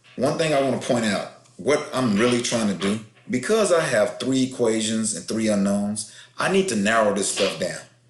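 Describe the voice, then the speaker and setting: Audible room echo surrounds a man's voice. His pitch is medium and his intonation lively. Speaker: math teacher. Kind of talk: tutorial. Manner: fast.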